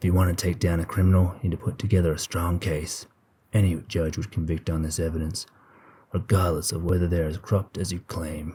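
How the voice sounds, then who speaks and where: Using a gruff, put-on character voice pitched very deep and low, a man talks at a fairly quick pace on a very clean recording with a silent background. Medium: read story.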